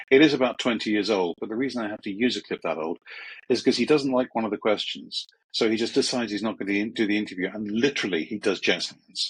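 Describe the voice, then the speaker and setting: Dry and close with no echo, a man with a British accent talks at a very fast pace and a medium pitch. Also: ordinary pitch variation. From England, Croydon. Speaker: media trainer and former journalist. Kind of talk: podcast interview. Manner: hesitant with many fillers.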